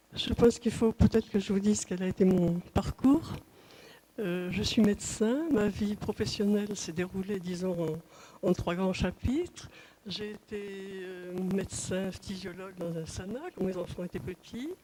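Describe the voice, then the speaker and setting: Her medium-pitched voice has a dark, mellow tone and is somewhat breathy, as the woman speaks at a fairly slow pace with long, frequent pauses. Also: ordinary pitch variation. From southwest France. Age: 80s+. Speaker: physician, trial witness. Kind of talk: court testimony. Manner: hesitant, with frequent fillers.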